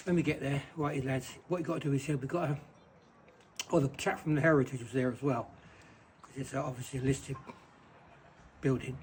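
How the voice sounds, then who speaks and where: Talking at a very fast pace with long, frequent pauses, a man uses a fairly high pitch and fairly even intonation, his loudness swinging widely. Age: 70s. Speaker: retired bricklayer. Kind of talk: casual storytelling.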